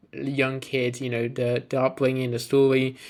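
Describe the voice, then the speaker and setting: A man with a British accent talks at a fairly quick pace. His medium-pitched voice has monotone, flat intonation. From UK (moved from Bulgaria at seven). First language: Bulgarian. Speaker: fitness business coach. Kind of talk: personal story to camera. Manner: hesitant, many fillers and repeats.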